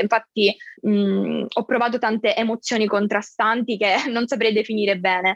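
A woman talks in an unremarkable speaking voice, fairly high in pitch, at a moderate pace with fairly even intonation. The sound is dry and close, with no echo. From Sicily, Catania. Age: 20s. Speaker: university student with a rare disease. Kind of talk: personal testimony in interview.

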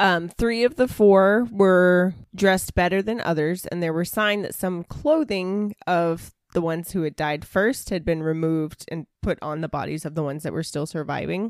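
A woman with a Southern US accent speaks at a fairly low pitch, with hardly any pauses. Her pitch varies in an ordinary way. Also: moderate pace. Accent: Southern US, noticeable today. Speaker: podcast host and storyteller. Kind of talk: casual storytelling chat, reading from notes. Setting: remote call with co-hosts.

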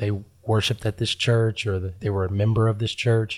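In a very clean recording with a silent background, a man talks at a medium pitch in a somewhat breathy voice. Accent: American. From Huntington, West Virginia. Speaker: pastor. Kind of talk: interview conversation.

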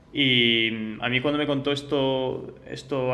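A man speaks in a flat monotone, with audible echo from the room. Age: young. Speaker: startup co-founder. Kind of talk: interview. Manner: halting, many repeated words.

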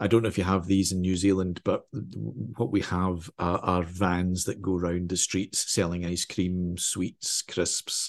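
Against a quiet background, a man talks at a fairly slow pace with hardly any pauses. His pitch is very deep and low, and his intonation fairly even. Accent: Glaswegian. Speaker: crime novelist. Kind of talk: interview.

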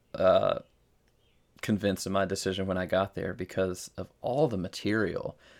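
A man with a slight Southern US accent at a moderate pace. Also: very clean recording, silent background. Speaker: podcast co-host, novice lifter. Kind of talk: casual chat.

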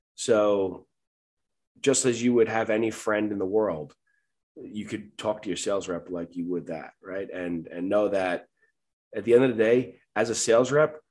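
With a New York accent, a man speaks with ordinary pitch variation against a quiet background. He leaves long, frequent pauses. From Long Island, New York. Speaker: medical supply sales director. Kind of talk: casual interview.

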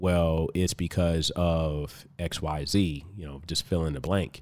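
Over a silent background in a very clean recording, a man with an American accent talks at a very slow pace, his very deep, low pitch held in fairly even intonation. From Compton, California. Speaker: fitness coach and podcaster. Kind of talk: casual interview. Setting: studio, in person.

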